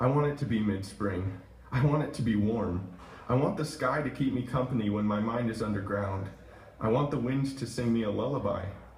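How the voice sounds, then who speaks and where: Noticeable background noise accompanies speech at a moderate rate, with pitch that varies in an ordinary way. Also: man. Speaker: poet reading own work at open mic. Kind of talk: open mic poetry reading. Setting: coffee shop live audience.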